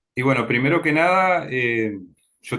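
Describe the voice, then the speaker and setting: A man's bright, sharp tone at a fairly slow pace. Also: very clean recording, silent background. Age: 50s. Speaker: physics teacher. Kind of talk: interview testimony.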